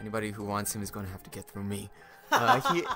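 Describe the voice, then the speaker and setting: With music in the background, the speaker takes a playful tone at a fairly quick pace. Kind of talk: casting call announcement read, bloopers. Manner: laughing, playful.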